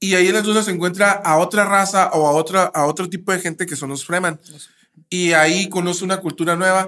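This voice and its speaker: A man with a high voice speaks at a fairly quick pace. His intonation is flat and monotone. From Mexico, Nayarit. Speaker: podcast co-host, psychologist. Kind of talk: casual chat.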